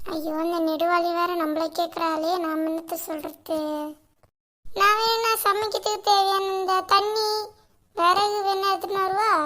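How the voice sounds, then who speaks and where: A woman's cartoonish character voice at an extremely high pitch, very slow pace and fairly even intonation. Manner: quarrelsome, colloquial.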